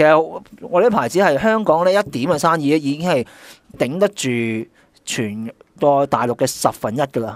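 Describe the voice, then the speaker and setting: A man's fairly high voice with very wide pitch swings, at a moderate pace with long, frequent pauses, in a dry recording with no echo and a quiet background. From Hong Kong. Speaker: guest co-host, sportswear marketing veteran. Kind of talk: casual chat. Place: studio.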